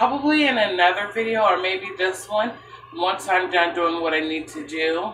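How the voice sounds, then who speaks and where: Light background noise and audible room echo around a woman's moderately paced delivery. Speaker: home cook vlogger. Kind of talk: casual vlog chat. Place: kitchen. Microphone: phone near.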